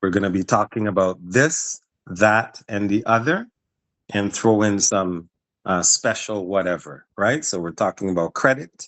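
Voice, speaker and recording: A man speaks at a fairly slow pace in an ordinary speaking voice, his pitch fairly low with ordinary pitch variation. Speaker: business promoter pitching a workshop partnership. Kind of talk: business pitch call.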